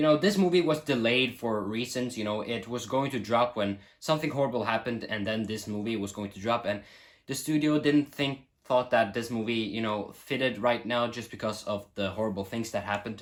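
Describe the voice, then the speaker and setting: A man with a Norwegian accent, medium pitch and a fairly quick pace. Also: ordinary pitch variation. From Norway. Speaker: film reviewer. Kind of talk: casual vlog review. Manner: animated.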